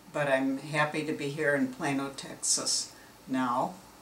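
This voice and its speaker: A woman with an American accent speaks at a fairly slow pace in a very deep, low pitch, with audible room echo. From US Midwest, northern Illinois. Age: 80s+. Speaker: elderly mother telling her life story. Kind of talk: oral history interview. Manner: hesitant, with many fillers.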